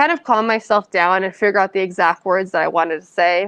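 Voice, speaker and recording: A woman with a Californian accent talks in a fairly even intonation. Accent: Californian American English. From San Francisco Bay Area, California. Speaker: author. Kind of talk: audience Q&A. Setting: library event with audience.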